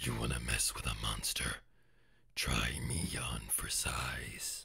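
Putting on a character voice, a man speaks very deep and low at a fairly slow pace in a menacing tone. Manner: menacing, taunting.

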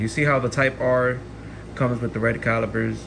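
A man talks with fairly even intonation. Noticeable background noise can be heard. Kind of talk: casual vlog chat. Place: home room. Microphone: phone near.

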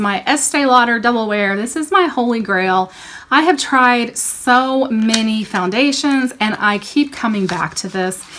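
Her pitch is fairly high. The woman's pitch varies in an ordinary way. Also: hardly any pauses. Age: 40s. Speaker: beauty YouTuber. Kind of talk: product haul review. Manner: animated. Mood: upbeat, enthusiastic. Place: home room. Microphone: phone near.

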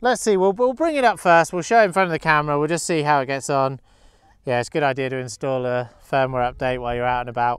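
In a dry sound with no echo and a quiet background, a man speaks with lively intonation. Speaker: drone reviewer. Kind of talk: casual vlog chat. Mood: light-hearted, laughing. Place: open country.

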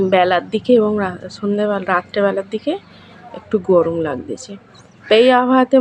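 Medium-pitched woman's voice with ordinary pitch variation, over noticeable background noise. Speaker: vlogger and homemaker. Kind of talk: casual vlog narration. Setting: at home and in village outdoors.

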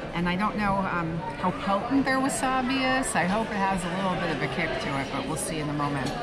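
A woman at a fairly quick pace, with crowd noise in the background. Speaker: food vlogger. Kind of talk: casual vlog chat. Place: cafe. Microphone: camera far.

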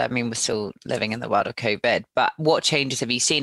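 A woman speaks with an English accent and lively intonation. Her tone is bright and sharp. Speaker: podcast host and recruiter. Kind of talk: interview.

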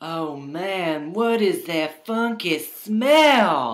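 A put-on character voice that sounds female speaks at a very slow pace and a middle pitch. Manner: sly, smooth-talking.

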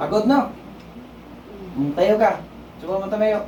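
Under noticeable background noise, the talking goes at a fairly slow speed. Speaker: faith healer. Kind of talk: healing session. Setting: on camera with patient. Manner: animated.

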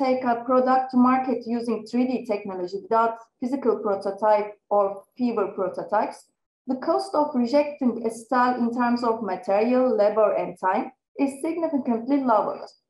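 A high-pitched woman's voice with a Turkish accent and audible room echo. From Turkey. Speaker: research assistant; conference presenter. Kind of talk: conference presentation. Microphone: webcam.

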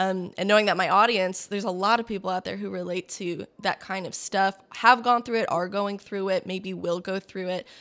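A woman talks at a fairly quick pace with hardly any pauses. Her intonation stays fairly even. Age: 20s. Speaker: podcast host. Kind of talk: casual chat. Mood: warm, encouraging. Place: home room. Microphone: studio mic.

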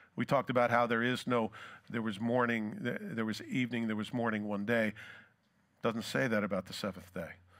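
Against a quiet background, a man speaks at a fairly quick pace with fairly even intonation. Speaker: preacher. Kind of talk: sermon. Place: church. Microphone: headset.

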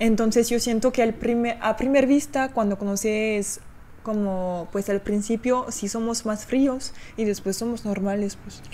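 In a French accent, a woman with a fairly high voice speaks at a fairly slow pace with fairly even intonation over light background noise. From France. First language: French (speaking Spanish). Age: 20s. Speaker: YouTuber. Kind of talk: casual chat. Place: home room. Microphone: studio mic.

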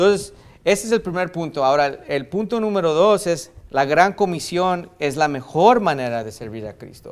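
A man talks at a moderate speed, his loudness swinging widely. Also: lively intonation. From US–Mexico border region. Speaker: pastor. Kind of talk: sermon. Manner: halting, many fillers and restarts. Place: church. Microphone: podium.

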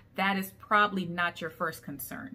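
A bright, sharp tone comes through. It belongs to a woman. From Liberia. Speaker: YouTube TV reviewer. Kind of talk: solo TV episode review. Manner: hesitant, many ums. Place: home room. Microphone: phone near.

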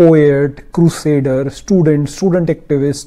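A man's dark, mellow-toned voice. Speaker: commentary vlogger. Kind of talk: political commentary vlog. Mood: critical, explanatory. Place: home room.

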